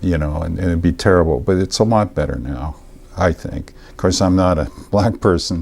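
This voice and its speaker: Noticeable background noise runs under the recording. Over it, a man speaks with a very deep, low pitch. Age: 70s. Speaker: talk show host. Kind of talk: casual interview chat. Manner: halting, many fillers.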